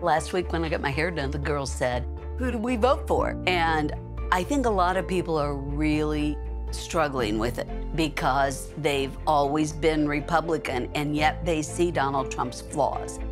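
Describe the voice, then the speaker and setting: A woman speaks at a fairly slow pace. Clear music plays in the background. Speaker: retired school board president. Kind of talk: political ad testimonial. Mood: concerned, earnest. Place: home room.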